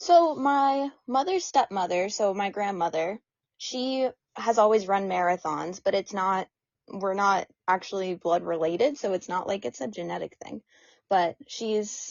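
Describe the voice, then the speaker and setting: This woman has a normal speaking voice at a medium pitch, with an American accent. She talks at a fairly slow pace with lively intonation. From US Northeast, central New Hampshire. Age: 20s. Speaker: ultramarathon runner. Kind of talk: casual interview chat.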